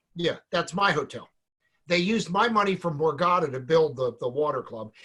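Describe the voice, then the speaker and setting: A man's bright, sharp, high-pitched voice with a New Jersey accent, lively intonation and a moderate pace. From New Jersey, Point Pleasant. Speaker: salon business educator. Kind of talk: casual chat.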